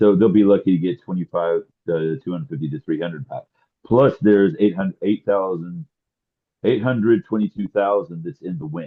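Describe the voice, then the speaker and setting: The delivery is fairly quick, with lively intonation. Loudness swings widely throughout. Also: man, fairly low pitch for a man. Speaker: co-host. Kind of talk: casual chat.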